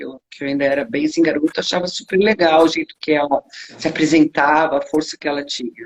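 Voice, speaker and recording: A woman speaks at a moderate pace with lively intonation, in a dry, close sound with no echo. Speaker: rock singer. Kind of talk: interview.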